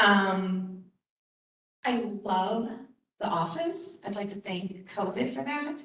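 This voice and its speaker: Talking at a very slow pace with long, frequent pauses, a woman uses a medium pitch and lively intonation amid audible room echo. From Baltimore, US Mid-Atlantic. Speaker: conference presenter, college staff member. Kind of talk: conference presentation. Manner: casual, with many fillers.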